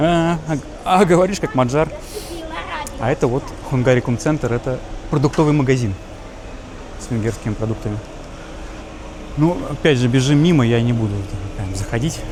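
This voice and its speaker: Long, frequent pauses mark a man's speech, heard with noticeable background noise. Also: medium pitch for a man, ordinary pitch variation, moderate pace. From Russia. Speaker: travel vlogger. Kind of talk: casual walking vlog. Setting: outdoors walking in city. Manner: animated.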